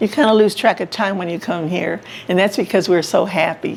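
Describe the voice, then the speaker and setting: An American accent with noticeable background noise. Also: woman. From San Antonio, Texas. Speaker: senior living resident. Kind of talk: life story interview. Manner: upbeat, cheerful.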